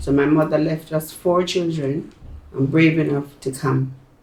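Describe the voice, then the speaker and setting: A woman with a Jamaican accent speaks at a very deep, low pitch with fairly even intonation. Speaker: retired nurse. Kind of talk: oral history interview answer. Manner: emotional.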